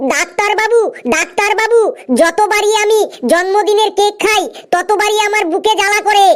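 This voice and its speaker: This is a cartoonish character voice with extremely high pitch. The pace is moderate. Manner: whiny, repeats "doctor babu".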